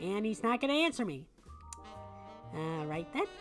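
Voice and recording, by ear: In a put-on character voice, a female-sounding speaker at medium pitch makes very wide pitch swings at a moderate pace while clear music plays in the background.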